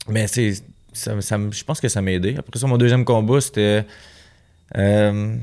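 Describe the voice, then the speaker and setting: On a very clean recording with a silent background, a man with a dark, mellow tone and fairly low pitch speaks at a fairly slow pace, with fairly even intonation and long, frequent pauses. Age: 20s. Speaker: professional boxer. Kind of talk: casual interview.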